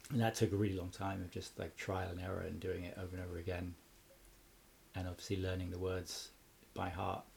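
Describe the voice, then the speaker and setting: Talking very fast but with long, frequent pauses, a man with a southern English accent has a very deep, low pitch, a somewhat breathy voice and a monotone, flat intonation. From Cambridge, England. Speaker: musician and mastering engineer. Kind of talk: casual interview chat.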